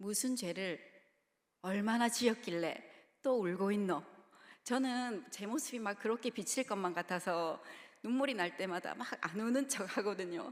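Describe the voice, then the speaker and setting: Speaking in a Gyeongsang accent, a woman moves at a fairly slow pace with long, frequent pauses and ordinary pitch variation. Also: medium pitch for a woman. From Busan, South Korea. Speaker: preacher (children's ministry evangelist). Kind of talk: sermon. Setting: church.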